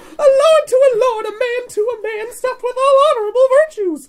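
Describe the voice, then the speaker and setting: Squeaking in a put-on character voice, a woman pitches her speech extremely high. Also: moderate pace. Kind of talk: Shakespearean verse reading. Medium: read story. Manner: polite, deferential.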